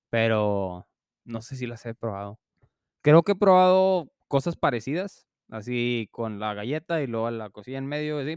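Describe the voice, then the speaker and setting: In a plain, everyday voice, a man speaks at a moderate pace with lively intonation, the sound dry and close with no echo against a quiet background. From Mexico. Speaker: podcast co-host. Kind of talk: casual chat.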